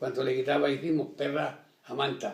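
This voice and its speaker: This man's voice has a fairly high pitch. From Extremadura, Spain. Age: 80s+. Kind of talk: oral history interview answer.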